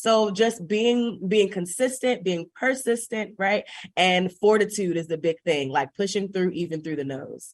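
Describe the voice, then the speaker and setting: Speaking at a fairly slow pace with hardly any pauses, a woman with an American accent uses an animated tone, lively intonation and medium pitch. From US Midwest, Chicago. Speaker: singer and theater teacher. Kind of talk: interview conversation.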